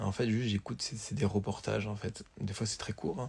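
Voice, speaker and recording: This man's voice is fairly low-pitched and somewhat breathy. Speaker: vlogger. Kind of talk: casual vlog. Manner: hesitant, fillers.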